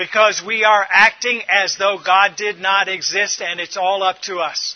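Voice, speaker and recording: A loud man's voice, high-pitched and flat in a monotone, at a fairly slow pace over noticeable background noise. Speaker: preacher. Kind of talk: sermon.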